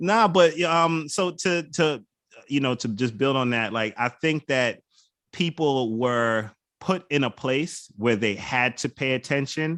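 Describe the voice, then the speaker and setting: This is a man with an American accent and an ordinary speaking voice. He talks at a fairly slow pace in a medium pitch with lively intonation, against a quiet background. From Bronx, New York. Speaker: wine auctioneer and hip hop culture creative agency head. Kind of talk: interview answer.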